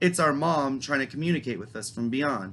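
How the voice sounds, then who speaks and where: Speaking at a fairly slow pace, a man uses a medium pitch with ordinary pitch variation. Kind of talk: true crime storytelling to camera. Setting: home basement. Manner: loud; casual, profane.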